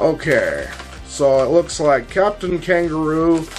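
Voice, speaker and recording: Faint music sounds behind the speaker. He is a man whose pitch varies an ordinary amount. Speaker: video host. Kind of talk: commentary.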